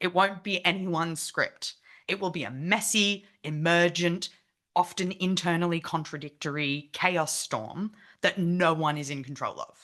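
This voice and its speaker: With an Australian accent, a woman talks at a fairly slow pace in a fairly low pitch with a bright, sharp tone. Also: ordinary pitch variation. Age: 30s. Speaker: activist speaker. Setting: meeting with online participants.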